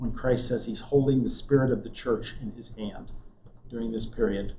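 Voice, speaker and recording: Soft-spoken and at a moderate pace, a man talks in a room with audible echo. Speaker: Bible class teacher. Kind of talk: lecture. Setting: classroom with live audience, also streamed. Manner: soft-spoken, voice drops; halting. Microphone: too quiet for back of room.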